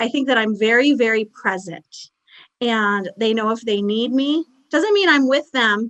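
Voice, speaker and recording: In an American accent, a woman speaks at a fairly high pitch with ordinary pitch variation, an ordinary speaking voice. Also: fairly slow pace, dry, close sound with no echo. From Buffalo, New York. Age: 40s. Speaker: parenting blogger and author. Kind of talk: casual interview chat.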